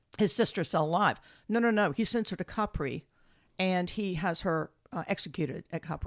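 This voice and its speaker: On a very clean recording with a silent background, a woman speaks in a plain, everyday voice at a fairly quick pace, with medium pitch and ordinary pitch variation. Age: 60s. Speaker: archaeologist. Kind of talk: casual lecture-style chat.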